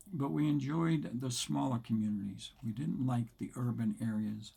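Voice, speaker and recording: At a moderate pace and medium pitch, a man speaks in a dark, mellow, somewhat breathy tone with lively intonation. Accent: American. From Provincetown, Massachusetts, US. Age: 80s+. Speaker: retired school principal. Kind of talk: casual talk to camera.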